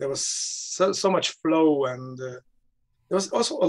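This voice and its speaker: In a quiet background, a man with a fairly high pitch uses a normal speaking voice with ordinary pitch variation. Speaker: nonviolent communication trainer. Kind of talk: casual conversation. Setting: video call. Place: home room. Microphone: video call.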